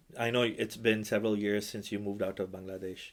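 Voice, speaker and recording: A man with a Pakistani accent talks at a fairly quick pace in a fairly low pitch. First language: Urdu. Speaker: imam and podcast host. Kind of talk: casual interview.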